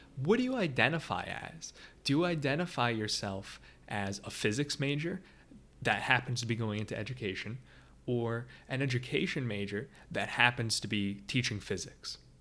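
Bright and sharp in tone, a man talks with lively intonation. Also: medium pitch for a man. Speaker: teaching podcaster. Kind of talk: solo monologue podcast. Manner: fast talker; filler words, halting.

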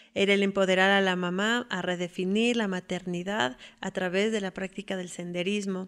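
A woman with a highland Ecuadorian accent speaks at a moderate pace with fairly even intonation. The recording is very clean, with a silent background. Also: medium pitch for a woman. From Ecuador, Quito. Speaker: hiking guide and tour operator. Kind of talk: personal testimony. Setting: at home.

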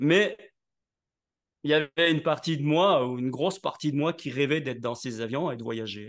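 Against a quiet background, a man with a fairly high pitch and ordinary pitch variation speaks at a moderate pace, with long, frequent pauses. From southern France (Nice). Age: 60s. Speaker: network marketing entrepreneur and speaker. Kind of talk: interview.

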